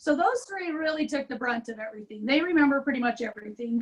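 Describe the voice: At a fairly quick pace, a woman speaks in a raspy, high-pitched voice with ordinary pitch variation.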